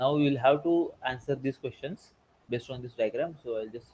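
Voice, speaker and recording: At a fairly quick pace, a soft-spoken, somewhat breathy voice with a dark, mellow tone comes through. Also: man. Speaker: teaching assistant. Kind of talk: tutorial. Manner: halting. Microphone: too quiet.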